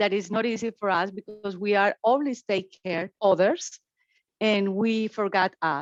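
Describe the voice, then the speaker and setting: In a Spanish accent, a woman speaks at a fairly slow pace and medium pitch with ordinary variation, the sound dry and close with no echo over a quiet background. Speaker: family support partner. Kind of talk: panel discussion on webinar.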